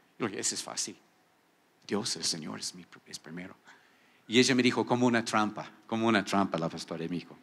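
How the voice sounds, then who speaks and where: This man talks at a fairly quick pace with a fairly low pitch, ordinary pitch variation, big swings in loudness, and long, frequent pauses. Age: 60s. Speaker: pastor. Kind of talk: sermon. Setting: church. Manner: animated. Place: church. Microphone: handheld.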